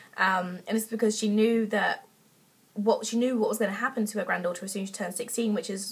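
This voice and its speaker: Noticeable background noise sits behind a woman with an English accent. She speaks at a very fast pace at a medium pitch, with monotone, flat intonation. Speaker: book reviewer. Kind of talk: casual book review vlog. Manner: hesitant, many fillers.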